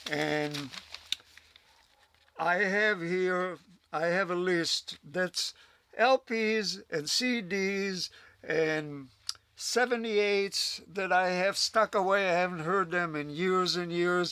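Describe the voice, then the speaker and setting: A man's high voice with a bright, sharp tone, ordinary pitch variation, a very slow pace, and long, frequent pauses. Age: 80s+. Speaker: retired stair-climbing record collector. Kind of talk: documentary interview. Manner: casual, chatty.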